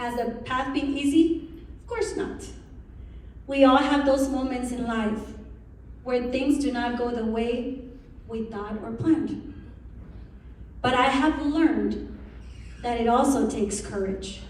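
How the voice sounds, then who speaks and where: In a room with audible echo and noticeable background noise, a woman with a high pitch and ordinary pitch variation speaks at a fairly slow pace, leaving long, frequent pauses. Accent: Spanish. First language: Spanish. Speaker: incoming association president, realtor. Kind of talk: speech. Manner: animated.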